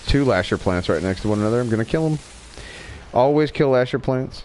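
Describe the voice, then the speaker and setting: A man with a slight Southern accent, medium pitch and lively intonation. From Wyoming. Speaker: gaming livestreamer. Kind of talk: casual chat.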